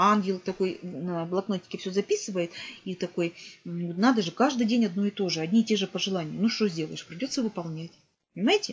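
A somewhat breathy woman's voice at a medium pitch, fairly quick in pace, with ordinary pitch variation. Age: 50s. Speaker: vlogger. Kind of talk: motivational monologue to camera. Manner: earnest, animated. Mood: earnest, reflective. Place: home room. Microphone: webcam.

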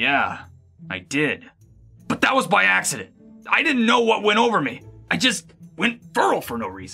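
With faint music in the background, a man puts on a cartoonish character voice at a high pitch, pausing long and often. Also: moderate pace. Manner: gruff, brash, swearing.

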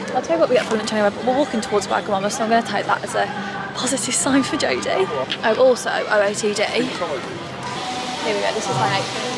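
Clear music plays behind a woman who speaks at a very fast pace, the sound dry with no echo. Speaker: lifestyle vlogger. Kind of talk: casual vlog chat. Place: street. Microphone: phone near.

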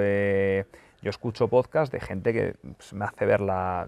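Pitched fairly low with ordinary pitch variation, a man's voice comes through dry, with no echo. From Spain. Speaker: football YouTuber and journalist; football YouTuber, journalist. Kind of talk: casual Q&A video monologue. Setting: press centre lounge. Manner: fast.

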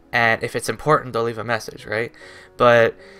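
A man speaks at a fairly quick pace with faint music in the background. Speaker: vlogger. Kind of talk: casual vlog storytelling. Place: home room.

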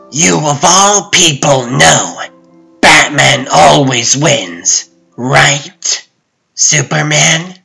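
Using a put-on character voice, a man growls at a very slow pace and a fairly high pitch while faint music plays in the background. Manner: mocking, sing-song, smug.

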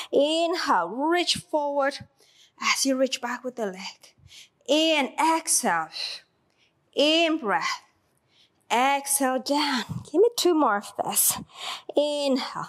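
A woman speaks at a very slow pace in a high voice, with long, frequent pauses against a quiet background. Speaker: fitness instructor. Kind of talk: exercise class cueing. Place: gym.

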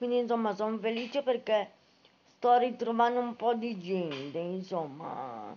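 Her pitch is fairly high and her intonation lively. The woman speaks at a fairly slow pace against light background noise. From Italy. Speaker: book-reviewing writer and live streamer; book vlogger. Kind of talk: casual live stream chat. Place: home room. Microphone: phone near.

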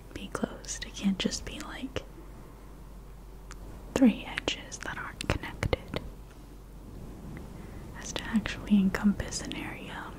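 Whispering and soft-spoken, a woman goes at a fairly slow pace with long, frequent pauses over noticeable background noise. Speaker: ASMR creator. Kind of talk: soft-spoken educational explanation. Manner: soft ASMR whisper close to mic. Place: home room. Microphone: studio mic.

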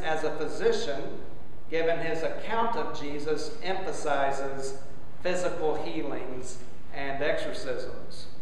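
Amid strong room echo and light background noise, a man speaks at a very slow pace with ordinary pitch variation. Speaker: bishop preaching. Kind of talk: sermon. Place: church. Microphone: camera far.

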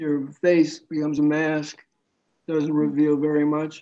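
With a dark, mellow tone, a man speaks at a fairly slow pace. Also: quiet background. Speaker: interviewee. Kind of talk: interview answer. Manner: thin, halting voice with stammered repeats. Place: home room. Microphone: video call.

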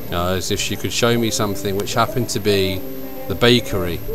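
A man speaks at a moderate pace over clear music in the background. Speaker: travel vlogger. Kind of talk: casual vlog chat. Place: street. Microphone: phone near.

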